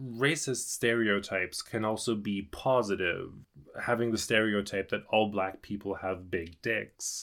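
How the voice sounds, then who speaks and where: Recorded very cleanly with a silent background, a man with a German accent and fairly low pitch speaks at a fairly slow pace with fairly even intonation. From Germany (rural). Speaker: podcast guest, host's boyfriend. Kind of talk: casual chat. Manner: careful.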